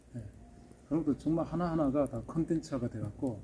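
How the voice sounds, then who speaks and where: A man speaks with a Gyeongsang accent over music playing in the background. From Seoul, later Gyeonggi. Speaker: pool villa builder, channel host. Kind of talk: casual interview chat.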